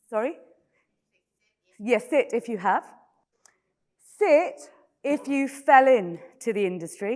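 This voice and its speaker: A high-pitched woman's voice in a British accent, very slow with long, frequent pauses and very wide pitch swings. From Britain. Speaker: panel moderator. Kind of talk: moderating a conference panel. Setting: stage with audience. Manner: casual, conversational.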